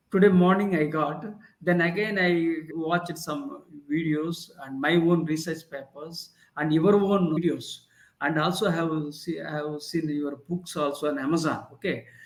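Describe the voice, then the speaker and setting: A man with an Indian accent speaks fairly slowly. His voice is fairly high, and his intonation stays fairly even. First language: Indian language. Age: 60s. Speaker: leadership professor and author. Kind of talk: interview. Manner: halting, with many fillers.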